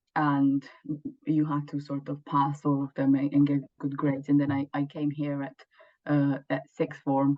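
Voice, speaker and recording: A woman with a Romanian accent, very deep and low in pitch for a woman, at a fairly slow pace. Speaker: law student. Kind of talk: interview. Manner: halting.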